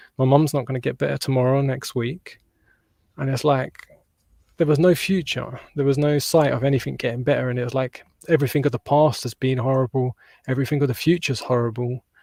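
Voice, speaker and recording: A man's very fast, somewhat breathy speech with a British accent, medium pitch, dark, mellow tone, fairly even intonation and a dry, close sound with no echo. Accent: British (UK). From southern England, near London. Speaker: holistic mental health practitioner. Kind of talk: personal testimony in interview. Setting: podcast interview.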